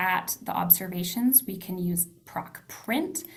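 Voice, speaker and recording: Lively intonation and vocal fry mark a woman's voice, heard with audible room echo. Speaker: data analysis instructor. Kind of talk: tutorial. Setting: video call.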